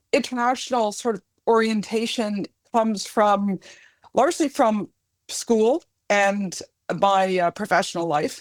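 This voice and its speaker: In a very clean recording with a silent background and a dry, close sound with no echo, a woman with a Canadian accent speaks at a fairly high pitch and a fairly slow pace, using ordinary pitch variation and long, frequent pauses. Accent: Canadian, often mistaken for British. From Canada. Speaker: academic and podcast co-host. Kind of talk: casual interview chat.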